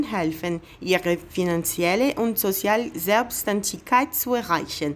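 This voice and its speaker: Speaking very slowly with a Brazilian accent, a woman at medium pitch uses lively intonation. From Brazil, Bahia. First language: Portuguese (speaking German). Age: 30s. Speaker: job applicant. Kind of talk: video CV presentation.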